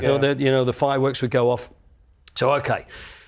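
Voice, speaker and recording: Noticeable background noise surrounds this speaker. He is a man with a fairly high pitch. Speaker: stadium announcer. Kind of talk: casual anecdote telling in a podcast interview.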